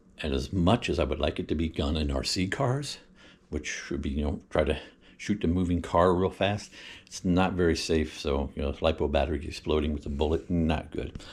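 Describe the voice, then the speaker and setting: The recording is very clean, and nothing can be heard behind the voice. His pitch sits very deep and low, with vocal fry running through it. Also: ordinary pitch variation, moderate pace. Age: 60s. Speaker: hobby vlogger. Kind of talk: casual chat. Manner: halting, many fillers. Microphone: built-in mic, before buying a microphone.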